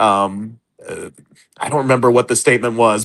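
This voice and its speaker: A man's ordinary speaking voice, medium in pitch, with fairly even intonation at a moderate pace against a quiet background. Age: 40s. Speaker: comics writer. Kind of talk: casual chat.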